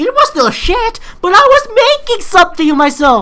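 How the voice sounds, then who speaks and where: With a strong Filipino accent, a woman speaks at a fairly quick pace in a bright, sharp tone. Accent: thick Filipino. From Philippines. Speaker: YouTuber, amateur game maker. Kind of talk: response video monologue. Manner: animated; halting.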